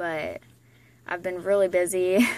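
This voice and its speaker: A woman talks at a moderate pace in an American accent. Light background noise sits behind her. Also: dry sound with no echo. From Florida. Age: 20s. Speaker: vlogger, young mother and former soldier. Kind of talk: casual self-introduction vlog. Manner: hesitant, with many fillers. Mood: relaxed, laid back. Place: home room. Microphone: phone near.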